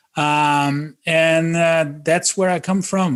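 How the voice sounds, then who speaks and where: A man with a Brazilian accent speaks at a fairly slow pace. His intonation stays fairly even. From southern Brazil, Florianópolis. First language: Portuguese. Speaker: podcast guest. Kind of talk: casual interview. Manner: halting, many fillers.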